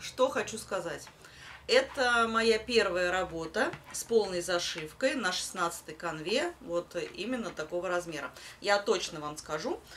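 Over light background noise, a woman speaks at a fairly slow pace with lively intonation. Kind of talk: casual vlog chat. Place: home room. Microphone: phone near.

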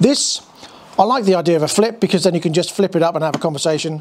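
A man speaks at a high pitch with ordinary pitch variation. Light background noise can be heard. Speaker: motorbike vlogger. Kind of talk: casual vlog chat. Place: garage.

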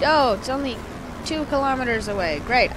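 Against noticeable background noise, a woman with a high pitch speaks at a moderate pace with ordinary pitch variation in a dry sound with no echo. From Canada. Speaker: gaming YouTuber. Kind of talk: gameplay commentary. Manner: animated.

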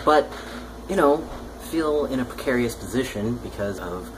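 Noticeable background noise runs under the recording. A man speaks at a moderate pace with ordinary pitch variation. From United States. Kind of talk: casual talk to camera. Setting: indoors, air conditioner noise. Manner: hesitant, conversational. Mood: reflective, slightly frustrated. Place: home room. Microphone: webcam.

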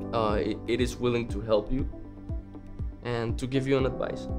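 Clear music plays in the background. Over it, a man speaks. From Mexico City. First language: Spanish. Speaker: college student. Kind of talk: interview answer. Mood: calm, sincere. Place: classroom.

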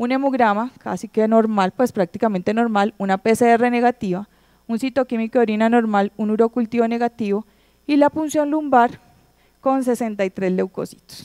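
Against a quiet background, a woman with a fairly high pitch and a dark, mellow tone speaks at a moderate pace with ordinary pitch variation. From Colombia. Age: 30s. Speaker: pediatric infectious disease doctor; presenter. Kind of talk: conference lecture. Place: hall. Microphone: handheld.

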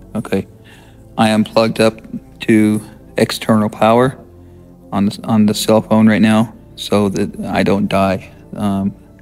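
Faint music plays behind a man with a fairly low pitch. He talks fairly slowly in a flat monotone, with long, frequent pauses. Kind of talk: casual vlog narration. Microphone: phone near.

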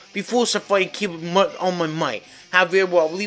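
The voice here is a natural reading voice.

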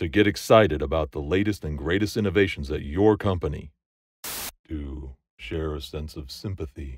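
With an American accent, a man talks at a very deep, low pitch with vocal fry and big swings in loudness. The sound is dry with no echo, over light background noise. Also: ordinary pitch variation, moderate pace. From United States. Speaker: voice actor. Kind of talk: voice-over demo / promotional read. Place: booth. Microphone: studio mic.

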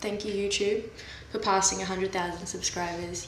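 Speech at a moderate pace, with light background noise and audible room echo. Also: woman. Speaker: vlogger. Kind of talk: casual vlog chat. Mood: relaxed, joking. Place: workshop. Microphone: camera far.

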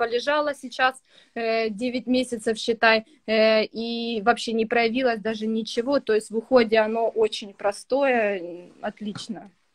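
The background is quiet as a woman talks at a fairly slow pace. Her fairly high voice keeps a fairly even intonation. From Ukraine, Kryvyi Rih; Ukraine. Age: 20s. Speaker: young mother, student; interviewee. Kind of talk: interview testimony. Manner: hesitant with fillers. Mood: relaxed, positive. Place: home room. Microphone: video call.

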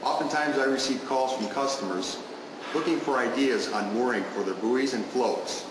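There is noticeable background noise and audible room echo. A man speaks with ordinary pitch variation. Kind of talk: tutorial. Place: factory.

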